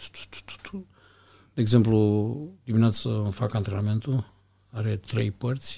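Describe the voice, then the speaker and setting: A man speaks with a dark, mellow tone that is somewhat breathy. The recording is very clean, with a silent background. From Romania, Iași. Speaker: hotel general manager. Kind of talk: interview.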